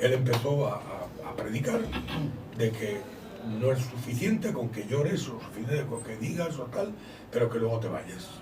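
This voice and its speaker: A man at a moderate pace with lively intonation and long, frequent pauses, amid noticeable background noise and audible room echo. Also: medium pitch for a man. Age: 60s. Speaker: visiting preacher. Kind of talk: testimony.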